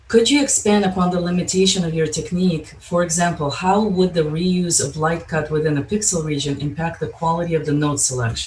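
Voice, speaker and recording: High-pitched and at a moderate pace, a man speaks with audible room echo. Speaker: session chair moderating Q&A. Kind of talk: conference Q&A moderation.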